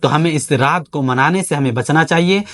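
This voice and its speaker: With a plain, everyday voice pitched fairly high, a man talks with ordinary pitch variation in a dry, close sound with no echo. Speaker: Islamic scholar giving a religious talk. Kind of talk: Islamic sermon (bayan) to camera.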